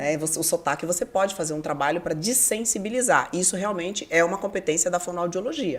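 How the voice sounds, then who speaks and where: A woman speaks very fast at a fairly low pitch, with ordinary pitch variation and hardly any pauses. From southern Brazil, Curitiba. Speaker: TV presenter and radio host. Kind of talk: interview.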